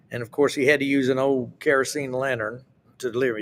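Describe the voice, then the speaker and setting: A man speaks in an Appalachian accent. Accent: Appalachian Southern US. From Appalachia, US. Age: 70s. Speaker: southern gospel singer. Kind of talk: casual interview.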